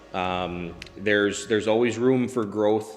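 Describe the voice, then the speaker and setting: A man with an upstate New York accent speaks at a fairly slow pace, with fairly low pitch and fairly even intonation. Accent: upstate New York American. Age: 20s. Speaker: welder and business owner. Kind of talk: testimonial interview. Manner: casual with frequent fillers.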